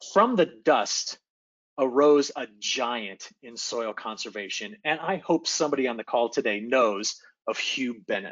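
A man has a plain, everyday voice at a medium pitch and a fairly slow pace. His intonation is lively, his loudness swings widely, and the background is quiet. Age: young. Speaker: atmospheric scientist; presenter. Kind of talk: presentation. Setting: video call. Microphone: video call.

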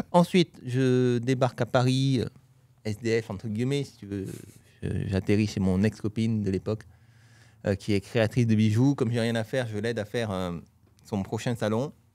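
A man's dark, mellow voice at a moderate pace, dry with no echo, ordinary pitch variation, and long, frequent pauses. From Toulouse, southwest France; southwest France. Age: 40s. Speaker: real estate trainer. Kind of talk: casual interview chat. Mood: relaxed storytelling. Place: studio. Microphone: studio mic.

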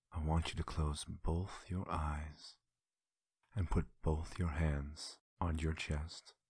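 A man speaks at a very slow pace in a very deep, low pitch, with a soothing, gentle tone. His voice is somewhat breathy and his intonation flat and monotone. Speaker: ASMR creator. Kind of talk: whispered guided visualization exercise. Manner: slow, gentle, hushed instructions with soft repetitions; soothing, intimate second-person coaxing.

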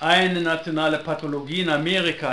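A man talks at a fairly slow pace with fairly even intonation amid noticeable background noise. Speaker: video blogger and sociologist. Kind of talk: solo video commentary, partly reading newspaper aloud. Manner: unscripted, live and unedited.

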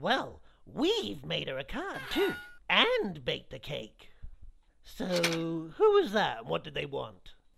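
The speaker uses a cartoonish character voice at a fairly slow pace. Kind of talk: comedic kids web series dialogue. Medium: puppet.

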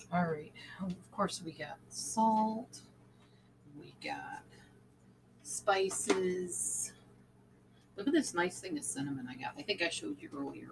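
Amid noticeable background noise, a woman talks at a fairly slow pace with long, frequent pauses. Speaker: home cooking vlogger. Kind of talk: casual vlog chat. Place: kitchen. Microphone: webcam.

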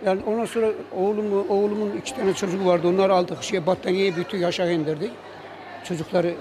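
A man talks very fast in a high voice with ordinary pitch variation. Noticeable background noise runs underneath. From Kırıkhan, Hatay, Turkey. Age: 70s. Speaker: earthquake survivor, amateur poet. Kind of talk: interview answer. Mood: sorrowful, recounting loss. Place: hall. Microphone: handheld.

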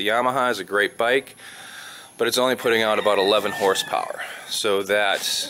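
The speech comes at a moderate pace over light background noise. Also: man. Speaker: expat vlogger. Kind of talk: casual vlog chat. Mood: just woke up, hurried. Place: garage. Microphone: phone near.

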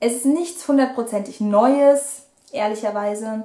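The speaker is a woman. Her voice sits fairly high. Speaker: book vlogger. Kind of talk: book review. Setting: home video recording.

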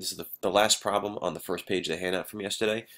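The man's voice is low in pitch yet fairly bright in tone. He speaks at a fast pace.

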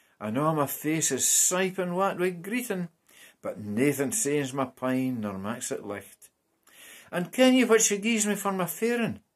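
In a Scottish accent, a man speaks at a high pitch with very wide swings, going fairly slowly. The background is quiet. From Scotland. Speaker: translator and poetry reader. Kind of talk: reading aloud. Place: home room. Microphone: webcam.

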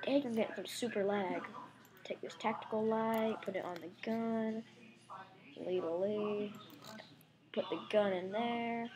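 Noticeable background noise sits behind a woman with a fairly high pitch who speaks fairly slowly with long, frequent pauses. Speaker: gaming YouTuber. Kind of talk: gameplay commentary. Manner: casual, animated.

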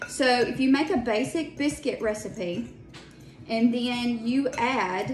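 With ordinary pitch variation, a woman speaks at a high pitch amid audible room echo and faint music in the background. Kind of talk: casual cooking tutorial. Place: kitchen. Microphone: phone near.

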